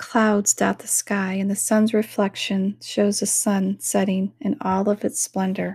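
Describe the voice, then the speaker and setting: A woman's medium-pitched, somewhat breathy voice, flat and monotone, soothing and calm, at a fairly slow pace with hardly any pauses, in a dry, close recording with no echo. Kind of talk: guided self-hypnosis meditation. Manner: slow, soothing, calm, gentle pacing with repeated phrases; soft-spoken, hypnotic.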